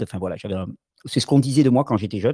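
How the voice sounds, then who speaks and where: A man's dark, mellow voice at a very fast pace, with ordinary pitch variation and a dry, close sound with no echo. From Catalonia (French Catalan mountains). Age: 40s. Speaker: alternative health promoter. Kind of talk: interview. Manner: halting, frequent repetitions.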